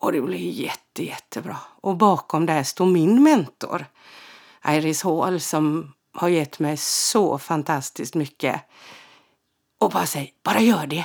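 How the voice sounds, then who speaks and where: At a fairly slow pace, a woman with an ordinary speaking voice and a fairly low pitch uses lively intonation, in a very clean recording with a silent background. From Sweden, Halland (Frillesås). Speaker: podcast host and medium. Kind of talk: casual storytelling monologue.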